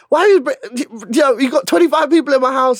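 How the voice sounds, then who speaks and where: A man at a very fast pace in a very clean recording with a silent background. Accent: London. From London, Shepherd's Bush. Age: 30s. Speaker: screenwriter and actor. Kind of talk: casual interview. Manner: animated.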